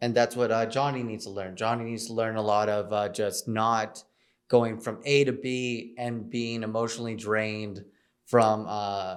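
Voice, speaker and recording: In a room with audible echo, a man talks at a moderate pace with monotone, flat intonation. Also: medium pitch for a man. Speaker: aspiring novelist / vlogger. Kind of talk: casual vlog monologue. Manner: loud; hesitant, many fillers.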